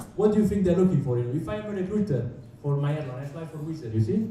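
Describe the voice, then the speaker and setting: A man with an Italian accent at a very fast pace, fairly high in pitch with very wide pitch swings, amid audible room echo. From Italy. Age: 20s. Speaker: airline pilot. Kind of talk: talk to students. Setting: hotel meeting room with audience.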